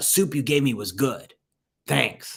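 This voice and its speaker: Putting on a raspy, gruff character voice, a man talks at a fairly slow pace and medium pitch. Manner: grudging, terse.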